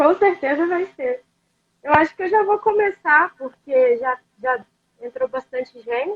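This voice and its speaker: A woman speaks at a high pitch and a fairly slow pace. Her pitch swings very widely. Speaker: student interviewer. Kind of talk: interview.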